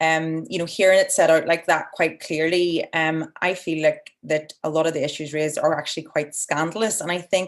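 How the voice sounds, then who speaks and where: The delivery comes in an Irish accent at a fairly quick pace. Intonation stays fairly even. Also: woman. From Ireland. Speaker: environmental NGO director and webinar moderator. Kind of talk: webinar moderation. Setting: online video webinar.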